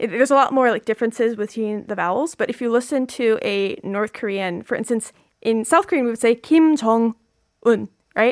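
In an American accent, a woman with an unremarkable speaking voice and fairly high pitch talks at a moderate pace with ordinary pitch variation, in a dry, close sound with no echo on a very clean recording with a silent background. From US, Virginia. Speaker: student and video creator intern. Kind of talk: radio interview, bilingual casual chat. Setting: radio studio.

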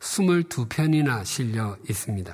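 Very slow, somewhat breathy speech from a man with lively intonation. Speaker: pastor. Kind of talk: sermon.

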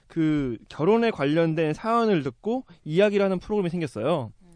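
Lively intonation marks this man's high-pitched voice. Behind him the background is quiet. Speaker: podcast host. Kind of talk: casual chat.

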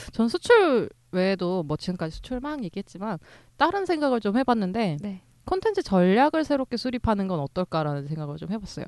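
A woman speaks at medium pitch with very wide pitch swings and a fairly quick pace. The sound is dry and close with no echo, against a quiet background. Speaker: podcast co-host. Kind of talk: casual chat.

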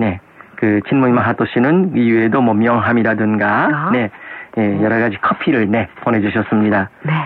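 Over noticeable background noise, a man speaks at a moderate pace and medium pitch, his loudness very even and his pitch varying in an ordinary way. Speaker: radio host. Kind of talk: casual chat.

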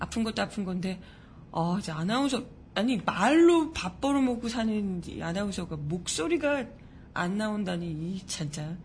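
Animated and somewhat breathy, a woman at medium pitch speaks with very wide pitch swings. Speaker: news show host. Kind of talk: news commentary with casual talk. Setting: live-streamed studio broadcast. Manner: chatty, animated.

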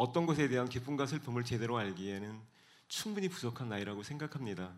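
At a moderate pace, a man with a medium pitch uses lively intonation in a plain, everyday voice. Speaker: author and speaker. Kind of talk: talk show interview with reflective monologue. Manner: thoughtful, formal, measured.

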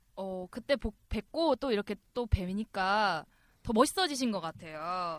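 A woman speaks at a fairly slow pace in a normal speaking voice, medium in pitch with lively intonation. The sound is dry and close, with no echo. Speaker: podcast co-host. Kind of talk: casual chat.

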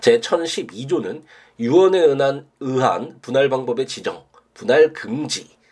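At a very slow pace, a man speaks with a fairly high pitch and lively intonation. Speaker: lawyer hosting a civil law podcast. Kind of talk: solo legal lecture podcast. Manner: hesitant with many filler sounds; voice breaking off at times.

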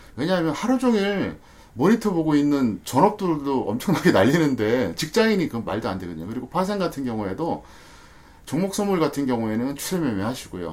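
Man's voice, fairly high in pitch, with very wide pitch swings. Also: fairly quick pace. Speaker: stock market expert. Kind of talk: podcast discussion.

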